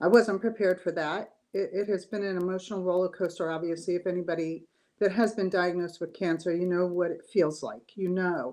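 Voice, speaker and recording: Her tone is dark and mellow at a medium pitch for a woman, with fairly even intonation. She talks at a fairly quick pace against a quiet background. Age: 60s. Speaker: cancer survivor. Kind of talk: interview testimony.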